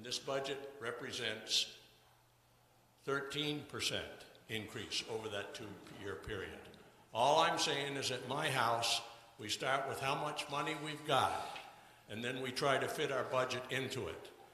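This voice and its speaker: A man at a fairly slow pace with long, frequent pauses and fairly even intonation, plus audible room echo and noticeable background noise. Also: medium pitch for a man. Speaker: resident speaking at town meeting. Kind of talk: public meeting comment. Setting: town meeting hall.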